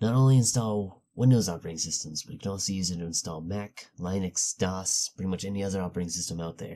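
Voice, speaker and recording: Quiet and fairly quick, a man speaks with a very deep, low pitch and a dark, mellow tone, his pitch varying in an ordinary way. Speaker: tech youtuber. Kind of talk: tutorial. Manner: hushed, low voice.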